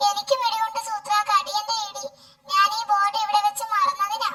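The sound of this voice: A squeaky, cartoonish character voice at an extremely high pitch. It moves along at a moderate pace.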